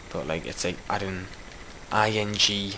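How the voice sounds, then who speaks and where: A man speaks slowly in a strong Geordie accent, very deep and low, monotone with flat intonation. Background noise is noticeable and room echo is audible. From Newcastle, northern England. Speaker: gaming YouTuber and map maker. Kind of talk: casual gameplay commentary. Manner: casual, hesitant with fillers.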